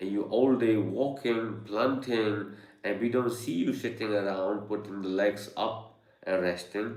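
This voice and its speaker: Speaking at a fairly slow pace, a man's voice carries audible room echo. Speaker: yoga and meditation teacher. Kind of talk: live online Q&A talk. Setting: studio with Zoom and YouTube live stream. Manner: halting, many fillers.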